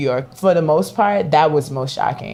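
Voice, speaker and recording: A woman speaks with a Virginia accent. Her pitch is very deep and low. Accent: Virginia country accent, still noticeable. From Virginia, US South. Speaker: leather accessories maker. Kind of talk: podcast interview. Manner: casual, conversational.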